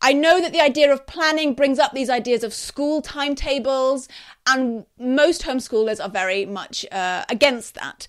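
A woman with a high pitch and a British accent speaks at a moderate pace with lively intonation. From UK. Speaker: podcast host and homeschooling educator. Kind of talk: advice talk on live broadcast. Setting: live stream on social media. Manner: quieter, mellow.

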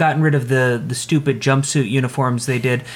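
This man has a plain, everyday voice at a fairly high pitch. He talks at a fairly slow pace with fairly even intonation. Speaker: podcast co-host. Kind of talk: casual chat.

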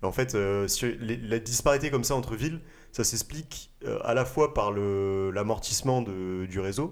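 At a fairly slow pace, a man with an unremarkable speaking voice and medium pitch talks in a very clean recording with a silent background. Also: ordinary pitch variation. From southern France, near Toulouse. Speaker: podcast host. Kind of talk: casual chat.

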